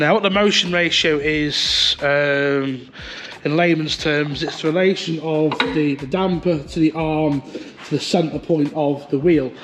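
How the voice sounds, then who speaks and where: Fairly even intonation from a man with a fairly high pitch, against noticeable background noise. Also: fairly slow pace. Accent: British. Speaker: car fabricator and racer. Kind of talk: casual talk to camera.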